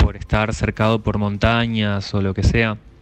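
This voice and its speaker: Over noticeable background noise, a man with a medium pitch speaks at a fairly slow pace in a monotone, flat intonation. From Argentina, northern Neuquén. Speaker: radio listener sending a voice message. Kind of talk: recorded listener anecdote. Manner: halting, many repetitions.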